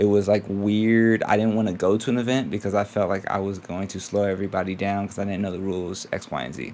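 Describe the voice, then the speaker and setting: Over noticeable background noise, a man with a fairly low voice talks very fast, his intonation fairly even and hardly any pauses between words. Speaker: teacher and vlogger. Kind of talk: casual vlog. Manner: quiet, keeping voice down; hesitant, many fillers.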